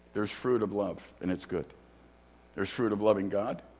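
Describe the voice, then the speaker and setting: Very fast speech from a man with a fairly low voice and an American accent, with audible room echo. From US Midwest, Chicago. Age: 60s. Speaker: guest preacher and theology teacher. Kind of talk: sermon. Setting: church.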